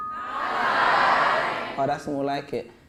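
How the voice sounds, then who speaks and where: Over noticeable background noise, a man with a London accent speaks at a fairly high pitch. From London, England. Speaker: spoken word poet and motivational speaker. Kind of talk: school assembly talk. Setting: stage with audience in a school. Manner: fast; animated.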